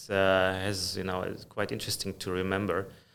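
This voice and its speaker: A man speaks with a slight German accent. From Germany. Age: 50s. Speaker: finance executive. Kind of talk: interview conversation. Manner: frequent hesitations.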